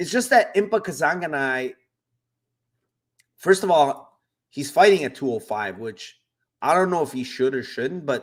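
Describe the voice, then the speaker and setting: A man with a normal speaking voice talks at a moderate pace, his intonation lively. The recording is very clean, with a silent background. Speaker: MMA betting podcaster. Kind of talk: casual solo podcast, betting predictions.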